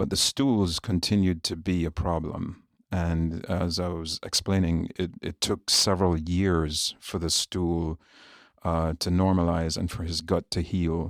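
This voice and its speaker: Very deep and low, a man's voice comes in a Jamaican accent with monotone, flat intonation at a fairly slow pace. The recording is very clean, with a silent background and a dry, close sound with no echo. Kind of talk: podcast interview.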